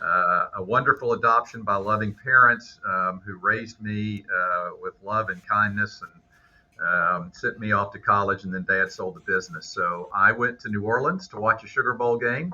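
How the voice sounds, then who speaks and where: Speaking at a moderate pace in a Southern US accent, a man's loudness swings widely. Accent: Southern American. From US South, Memphis, Tennessee. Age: 60s. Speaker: business broker and business school instructor. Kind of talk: podcast interview. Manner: hesitant, many fillers.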